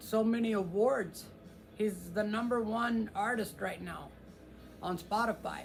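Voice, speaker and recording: With music in the background and audible room echo, a man with an American accent talks in a high pitch at a fairly slow pace. His intonation is monotone and flat, with long, frequent pauses. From US Midwest (Kansas). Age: 60s. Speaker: guitar channel host. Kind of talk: casual live stream chat. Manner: halting, many fillers.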